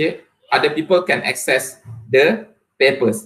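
A man speaks with a Malaysian accent over a quiet background. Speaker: university lecturer and researcher; university lecturer. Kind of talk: academic presentation. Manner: hesitant, frequent fillers. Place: home room. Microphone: webcam.

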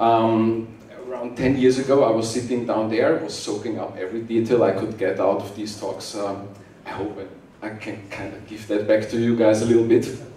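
A man speaks at a moderate pace with big swings in loudness, and audible room echo surrounds his voice. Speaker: conference speaker. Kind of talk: conference talk. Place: hall.

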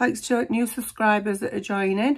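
Vocal fry at a moderate pace, with fairly even intonation. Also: woman.

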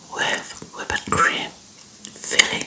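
Whispering and soft-spoken, a woman talks over light background noise. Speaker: food vlogger. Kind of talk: casual vlog chat. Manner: soft close-mic ASMR whisper. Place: home room. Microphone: phone near.

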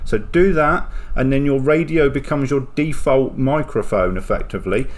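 The man's pitch is medium, with ordinary variation. He talks at a moderate pace.

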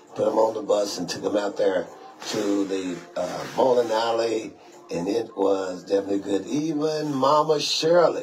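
Faint music plays behind a man who talks at a moderate pace. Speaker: radio show host, bishop. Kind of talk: radio talk commentary. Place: studio. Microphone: phone near.

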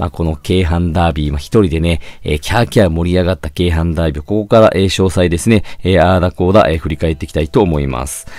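A man's very deep, low voice at a very fast pace, over noticeable background noise. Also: ordinary pitch variation. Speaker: football channel host. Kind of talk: solo match review. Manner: many fillers, polite formal phrasing.

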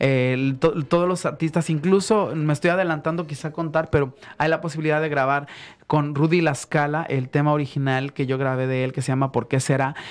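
This man talks at a fairly quick pace with fairly even intonation. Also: fairly high pitch for a man. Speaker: singer; guest. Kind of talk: radio interview; interview answer. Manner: halting. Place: studio. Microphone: studio mic.

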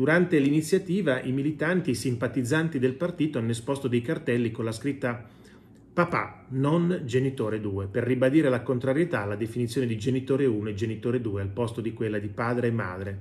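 Somewhat breathy, a man speaks at a fairly quick pace with light background noise. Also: ordinary pitch variation. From Italy. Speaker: video commentator and economics professor. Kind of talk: news commentary monologue to camera. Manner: conversational, opinionated, mocking. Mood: ironic, mocking. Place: home room. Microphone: phone near.

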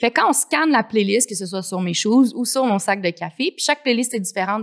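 A woman's fairly high voice in a Quebec accent, with lively intonation against a quiet background. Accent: Québécois French. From Quebec City. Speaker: coffee entrepreneur; guest. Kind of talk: casual interview. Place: studio. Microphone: studio mic.

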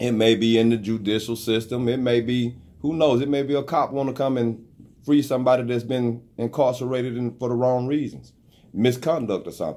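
Someone talks at a fairly quick pace in a Southern US accent, keeping the intonation fairly even. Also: man, medium pitch for a man. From US South. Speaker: online radio show host. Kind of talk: casual chat. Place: studio. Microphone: studio mic.

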